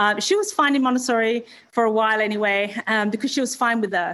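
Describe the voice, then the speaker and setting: Speaking very fast with an American accent, a woman uses ordinary pitch variation on a very clean recording with a silent background. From Western Australia, Perth. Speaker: education founder. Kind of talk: interview.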